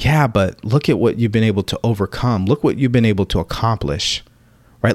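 In a very clean recording with a silent background and a dry, close sound with no echo, a man at medium pitch speaks in an intense, animated tone with ordinary pitch variation. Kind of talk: pep talk. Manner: intense, direct, motivational; animated, urging, blunt.

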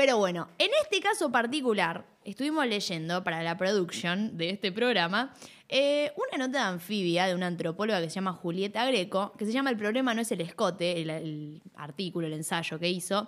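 A woman's medium-pitched, normal speaking voice, with lively intonation and a fairly quick pace. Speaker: radio co-host. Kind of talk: casual chat.

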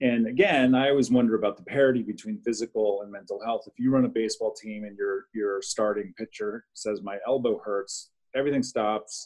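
A man with a plain, everyday voice speaks at a fairly quick pace and medium pitch, with ordinary pitch variation, hardly any pauses and big swings in loudness. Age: 50s. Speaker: clinical social worker. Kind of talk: panel discussion. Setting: video call.

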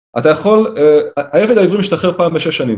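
Fairly quick and high-pitched, a man talks with lively intonation. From Israel, Kiryat Tivon. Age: 30s. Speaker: rabbi and author. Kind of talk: interview.

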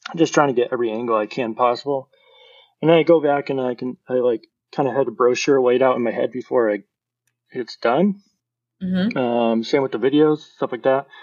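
A man talks at a fairly quick pace in a medium pitch with ordinary pitch variation. He has a normal speaking voice. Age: 30s. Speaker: designer. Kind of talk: casual chat.

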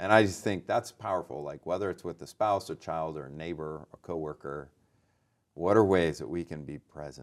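In a very clean recording with a silent background, a man with an American accent and a very deep, low voice speaks at a moderate pace, with ordinary pitch variation and big swings in loudness. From California (Lodi). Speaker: theology professor and author. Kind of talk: interview conversation.

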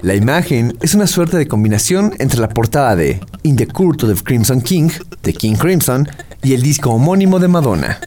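At a very fast pace, a man speaks at a medium pitch with very wide pitch swings. Noticeable background noise is present. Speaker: radio host. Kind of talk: scripted narration. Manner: formal.

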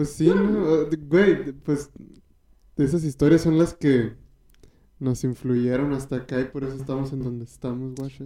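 A man with a Mexican accent speaks at a moderate pace and a fairly high pitch, with ordinary pitch variation, a dark, mellow tone, and long, frequent pauses. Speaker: podcast co-host and comedian. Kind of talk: casual chat.

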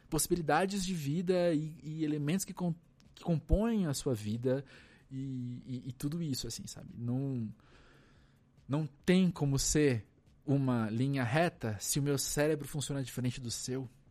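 A man with a dark, mellow tone speaks at a fairly slow pace and a fairly high pitch. His pitch varies an ordinary amount while his loudness swings widely. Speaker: cultural journalist and podcaster. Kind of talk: casual chat. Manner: halting.

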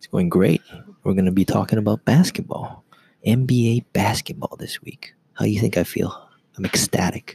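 A man whispers, somewhat breathy, at a moderate pace, his loudness swinging widely in a dry, close sound with no echo. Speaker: podcast host. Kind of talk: casual chat. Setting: library meeting room. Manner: whispering.

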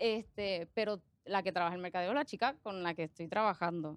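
A woman talks at a moderate pace, her medium pitch showing ordinary variation. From Puerto Rico, moved from Argentina at age five. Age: 20s. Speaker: accountant and social media creator. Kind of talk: casual interview chat. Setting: studio. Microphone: close to microphone.

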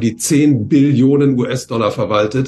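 A man speaks at medium pitch in a somewhat breathy, flat and monotone voice. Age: 70s. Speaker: economist and author. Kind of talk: interview. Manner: hesitant, frequent fillers.

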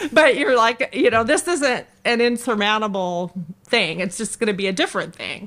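A woman's ordinary speaking voice with an American accent, fairly high-pitched, lively in intonation, at a moderate pace. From California, Los Angeles (Canoga Park). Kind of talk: interview testimony.

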